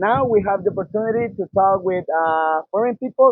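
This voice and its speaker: With a Spanish accent, a man speaks at a moderate pace, his pitch high with ordinary variation. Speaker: student interviewer. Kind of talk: street interview.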